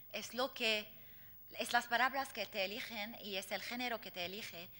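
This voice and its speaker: This woman has a fairly high pitch with ordinary pitch variation. She speaks at a moderate pace. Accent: Arabic. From Lebanon. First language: Arabic (speaking Spanish). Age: 40s. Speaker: poet and activist. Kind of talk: Q&A after lecture. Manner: halting, many fillers.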